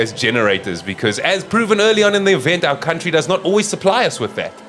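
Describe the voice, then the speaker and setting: A man speaks very fast while noticeable background noise runs underneath. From South Africa, Cape Town. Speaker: sports commentator. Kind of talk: live commentary.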